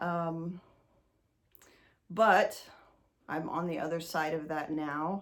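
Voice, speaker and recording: On a very clean recording with a silent background, a woman with a fairly low pitch speaks with an American accent. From US Midwest, west central Indiana. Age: 40s. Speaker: outdoors educator and hunting writer. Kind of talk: seminar talk, personal testimony. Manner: conversational with frequent ums.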